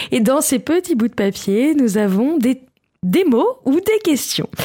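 At a fairly slow pace, a woman speaks high in pitch with very wide pitch swings and a dark, mellow tone. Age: 30s. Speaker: podcast columnist. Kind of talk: casual chat.

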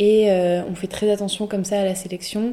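A woman talks at a fairly slow pace and a medium pitch, with a dark, mellow tone. Her intonation is monotone and flat. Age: 18. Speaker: student entrepreneur. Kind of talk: interview. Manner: halting.

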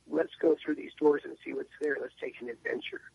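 In a dry, close sound with no echo, a man speaks with an American accent. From San Diego, California. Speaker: singer-songwriter. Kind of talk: radio interview. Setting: phone call.

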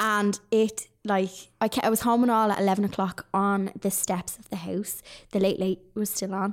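A woman with a Dublin accent speaks at a moderate pace and medium pitch, her intonation monotone and flat but her loudness swinging widely. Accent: Dublin Irish. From Ireland, Dublin. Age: 30s. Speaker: online crafter and retail worker. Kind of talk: casual chat. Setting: studio.

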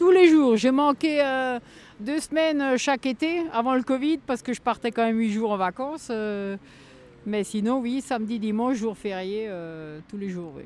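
In a plain, everyday voice, the speaker goes at a fairly slow pace with lively intonation and big swings in loudness. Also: woman, fairly high pitch for a woman. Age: 50s. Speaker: yellow vest protester. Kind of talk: interview.

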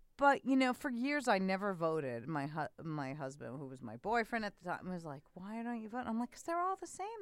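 A woman in a New York accent talks at medium pitch and a fairly quick pace, with hardly any pauses, very wide pitch swings and big swings in loudness. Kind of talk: casual chat.

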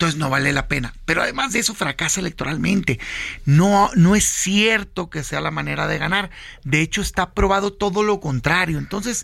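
Noticeable background noise sits behind the speech. The pace is fairly quick and the intonation lively. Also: man, high pitch for a man. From Mexico, Sonora (Hermosillo). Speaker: senator and opposition party leader. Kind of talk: political interview. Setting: radio studio.

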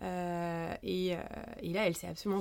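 This woman's voice sits at a medium pitch. She delivers her words with monotone, flat intonation. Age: 30s. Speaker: pediatric nurse and mother sharing birth stories. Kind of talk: personal testimony in interview. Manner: halting, many hesitations.

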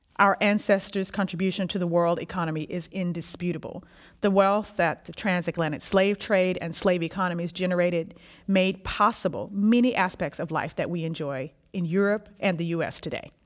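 A woman with an American accent and an unremarkable speaking voice talks at a fairly quick pace, medium pitch and fairly even intonation in a very clean recording with a silent background. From Texas (Houston). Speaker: social anthropologist. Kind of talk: reading aloud a written dialogue.

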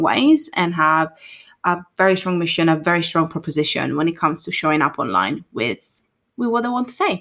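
A woman with an Italian accent speaks at a moderate pace with a fairly low pitch, ordinary pitch variation and a bright, sharp tone, in a very clean recording with a silent background. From Italy. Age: 20s. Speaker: marketing consultant. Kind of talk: casual chat.

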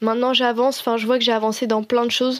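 In a dry, close sound with no echo, a woman speaks at a high pitch in a monotone, flat intonation. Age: 20s. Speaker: design student. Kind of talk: personal testimony.

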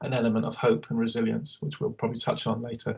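A man with a London accent talks at a very fast pace, his medium pitch showing ordinary variation and vocal fry. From Northwest London (Harrow). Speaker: LGBTQI asylum support services manager. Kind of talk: interview conversation. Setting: video call.

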